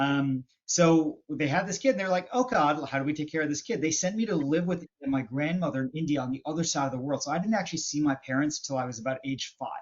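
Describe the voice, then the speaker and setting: A man's fairly high voice with a slight Canadian accent, ordinary pitch variation, a very fast pace and hardly any pauses. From western Canada. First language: Hindi. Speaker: business and marketing expert. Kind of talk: podcast interview. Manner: halting, many fillers.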